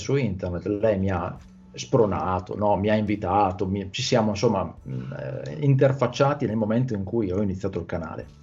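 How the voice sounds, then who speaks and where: At a fairly quick pace, a man speaks in a fairly low, somewhat breathy voice with ordinary pitch variation. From Italy. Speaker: Italian language YouTuber and teacher. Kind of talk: casual interview chat. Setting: video call.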